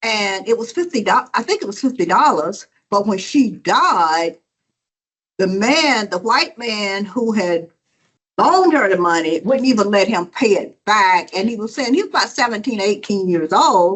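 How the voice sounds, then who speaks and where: Speaking with a Southern US accent, a woman uses lively intonation at a fairly high pitch. Her pace is moderate. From South Georgia, US South. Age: 70s. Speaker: audience member. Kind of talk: audience question.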